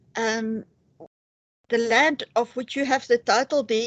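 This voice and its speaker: Talking at a fairly slow pace, a woman with a South African accent has a fairly high pitch. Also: quiet background. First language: Afrikaans. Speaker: interviewer. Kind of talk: interview. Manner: hesitant, many fillers. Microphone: poor quality connection.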